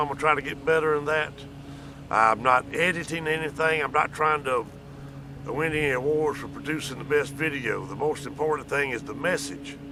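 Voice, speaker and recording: This man's voice is fairly high-pitched with fairly even intonation, heard over noticeable background noise. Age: 60s. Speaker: vlogger. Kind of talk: casual monologue. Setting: outdoors.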